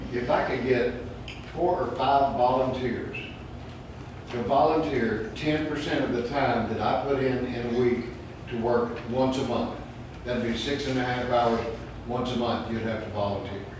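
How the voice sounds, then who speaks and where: Medium-pitched male speech with fairly even intonation and long, frequent pauses, plus audible room echo and noticeable background noise. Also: moderate pace. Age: 70s. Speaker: retired volunteer, community board member. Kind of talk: board meeting statement. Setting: community meeting.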